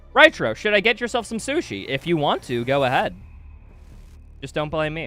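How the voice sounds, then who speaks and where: An animated American-accented voice with very wide pitch swings, music playing in the background. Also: man, fairly high pitch for a man, moderate pace. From US Midwest, Wisconsin. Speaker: video game streamer. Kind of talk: live gameplay stream chat. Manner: casual, animated.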